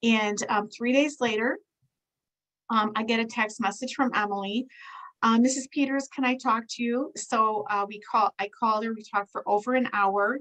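This woman has an ordinary speaking voice, with a fairly high pitch, a moderate pace and fairly even intonation. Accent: American. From US Midwest. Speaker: nurse and product distributor. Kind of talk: testimony. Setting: video call.

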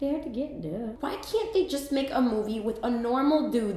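A woman with a high voice speaks at a moderate pace, with audible room echo. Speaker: comedy sketch host. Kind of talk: comedic monologue to camera. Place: bathroom.

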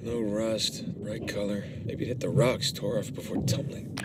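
A man's mumbling, put-on character voice at medium pitch and a moderate pace, over noticeable background noise.

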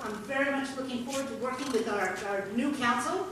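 A woman with a high-pitched voice speaks at a moderate pace. Strong room echo and noticeable background noise fill the recording. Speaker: incoming mayor. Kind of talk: formal speech. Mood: grateful, earnest. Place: hall. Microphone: camera far.

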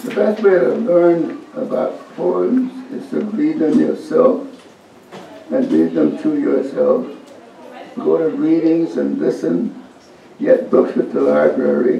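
Someone with an American accent speaks at a very slow pace over light background noise, with audible room echo. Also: man. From United States. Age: 80s+. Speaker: poet. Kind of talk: interview answer. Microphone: camera far.

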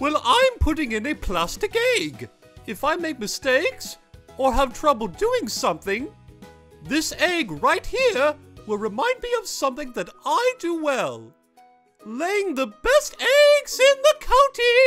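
Over faint background music, a cartoonish character voice speaks fairly slowly at a high pitch. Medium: puppet show. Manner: curious, proud, fussy.

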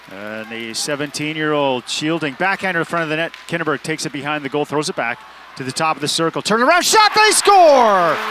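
Over noticeable background noise, a man's raised, projected voice makes very wide pitch swings, the sound dry with no echo. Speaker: play-by-play announcer. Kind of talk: live sports commentary (play-by-play). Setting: game broadcast highlights. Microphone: headset.

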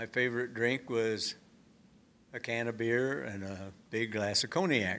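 A man's bright, sharp voice with an American accent, ordinary pitch variation, and long, frequent pauses. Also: fairly slow pace. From Oklahoma. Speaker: atomic test veteran. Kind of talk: talk to audience; storytelling talk to audience. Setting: stage with audience at museum. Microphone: too far from the mic; podium.

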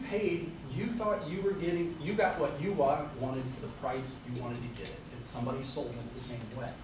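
Noticeable background noise and audible room echo surround this man. His voice is fairly high, with lively intonation. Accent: American. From Xenia, Ohio (US Midwest); Ohio. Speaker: county auditor. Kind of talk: informal public talk on property taxes. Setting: small group meeting. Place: meeting room.

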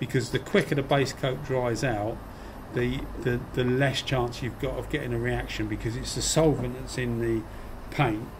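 A man talks at a moderate pace while noticeable background noise carries on behind him. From UK. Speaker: YouTuber spraying hobbyist. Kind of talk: casual video ramble, tutorial. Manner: chatty, rambling. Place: workshop. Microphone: phone near.

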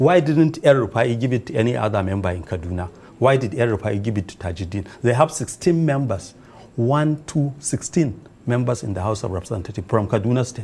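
A man's somewhat breathy voice carries lively intonation at a moderate pace. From Nigeria. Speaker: member of parliament; politician, interview guest. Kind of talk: TV news interview. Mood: earnest, argumentative. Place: studio. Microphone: lapel.

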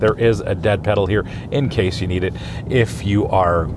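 A man's voice sounds dry with no echo. Background noise is noticeable. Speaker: car reviewer. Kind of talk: car review commentary. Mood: enthusiastic, admiring. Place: car.

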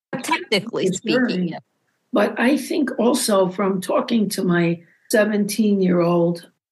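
This woman speaks with a somewhat breathy sound. Her pitch rises and falls in a lively way. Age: old. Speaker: psychotherapist, podcast host. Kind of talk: casual chat.

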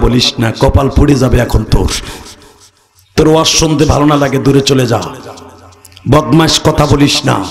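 A man with a fairly high pitch speaks at a very even loudness over light background noise. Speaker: Islamic preacher. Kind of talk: sermon. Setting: stage with audience. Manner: animated. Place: stage. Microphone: podium.

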